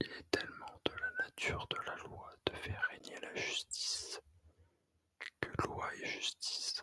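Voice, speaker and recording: Whispering at a very slow pace, the voice barely rises. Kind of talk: whispered ASMR reading of an essay. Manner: whispered.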